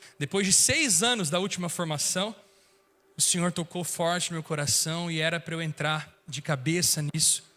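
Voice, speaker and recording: A man with a high pitch and a bright, sharp tone speaks at a moderate pace with ordinary pitch variation. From northern Paraná, Brazil (Londrina). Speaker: worship minister. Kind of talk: sermon. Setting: church.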